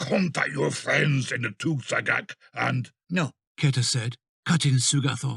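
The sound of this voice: An unforced reading voice is heard. Little sound comes from behind it.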